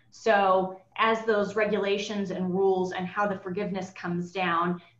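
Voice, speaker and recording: Against noticeable background noise, a woman at medium pitch speaks fairly slowly with fairly even intonation. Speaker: lawyer. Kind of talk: webinar presentation. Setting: webinar.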